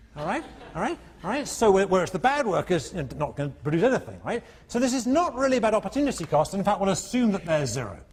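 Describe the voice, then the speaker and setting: Over noticeable background noise, a man with a non-native accent speaks at a very fast pace, his high voice making very wide pitch swings. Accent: non-American accent students find hard. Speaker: economics professor. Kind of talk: lecture. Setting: lecture hall with students. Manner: animated, conversational.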